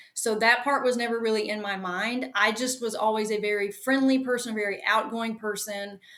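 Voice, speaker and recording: A woman with a Southern US accent talks at a fairly quick pace in a flat monotone, her fairly high voice hardly pausing. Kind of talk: interview.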